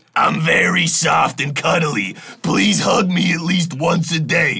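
A man puts on a raspy character voice with a high pitch. He speaks at a fairly slow pace.

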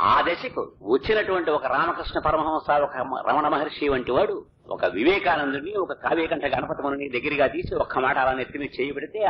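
Noticeable background noise under a man's fairly high-pitched voice with ordinary pitch variation. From Andhra Pradesh, India. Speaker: radio broadcaster and religious discourse speaker. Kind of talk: religious discourse.

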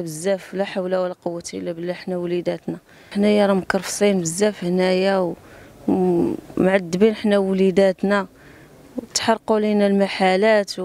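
With fairly even intonation, a woman talks at a moderate pace in a dry sound with no echo. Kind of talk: interview answer. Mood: distressed, pleading. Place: street. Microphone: handheld.

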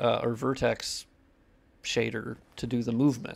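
A man speaks at a medium pitch with little pitch movement. His voice is nasal and shows vocal fry.

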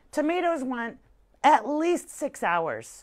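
The speaker is a woman. The background is quiet. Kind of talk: tutorial. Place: shop.

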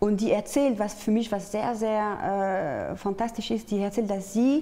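A woman with a French accent speaks at a fairly slow pace in a fairly high pitch. Her tone is dark and mellow, with ordinary pitch variation. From France, Paris. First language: French (speaking German). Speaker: artist and peace activist; interview guest. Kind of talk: interview. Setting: studio. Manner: halting, with many fillers. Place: studio. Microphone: lapel.

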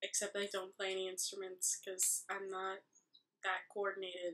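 A soft-spoken woman's voice with a bright, sharp tone. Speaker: vlogger. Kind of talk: casual vlog. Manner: rambling. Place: home room. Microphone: webcam.

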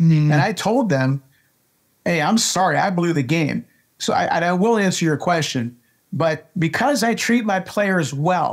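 Against a quiet background, a man with an American accent talks at a fairly slow pace in an animated tone, with a high pitch and ordinary pitch variation. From US, Pittsburgh. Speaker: baseball coach and scout. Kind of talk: interview conversation. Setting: video call. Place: office. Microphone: webcam.

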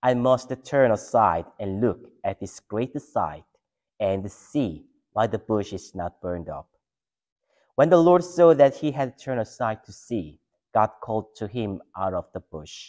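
With a quiet background, a man talks fairly slowly. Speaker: pastor or scripture reader. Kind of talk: scripture reading. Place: church.

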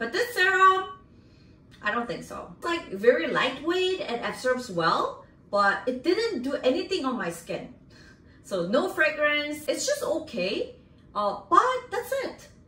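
A woman's high-pitched, raised and projected voice with a Korean accent, very wide pitch swings, a fairly slow pace and audible room echo. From South Korea. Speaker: makeup artist and beauty YouTuber; beauty YouTuber. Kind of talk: product review vlog. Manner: animated. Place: home room.

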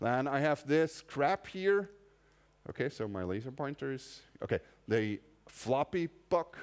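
Speaking very slowly with a German accent, a man with a fairly high pitch talks over a quiet background. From Austria. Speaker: conference speaker. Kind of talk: technical lecture. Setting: stage with audience. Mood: casual, humorous. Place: hall.

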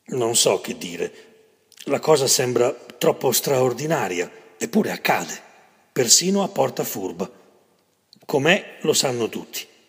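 This man's medium-pitched, somewhat breathy voice moves at a fairly slow pace with long, frequent pauses. His pitch swings very widely. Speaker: poetry reader. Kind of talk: poetry reading.

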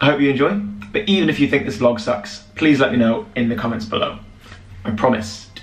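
Audible room echo and light background noise come through. A man speaks at a very fast pace. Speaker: vlogger. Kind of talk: casual vlog chat. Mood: upbeat, lightly joking. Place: home room. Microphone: webcam.

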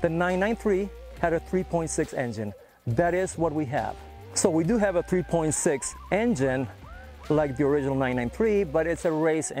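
A man at a moderate pace, dry with no echo, faint music in the background. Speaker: presenter. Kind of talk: casual walkaround commentary. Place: open country. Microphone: lapel.

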